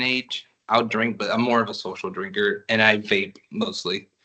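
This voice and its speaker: A man with an American accent talks in a normal speaking voice at medium pitch, with ordinary pitch variation and a moderate pace. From United States, Dominican family. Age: 20s. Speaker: client in mock assessment. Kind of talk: clinical assessment interview, role-play.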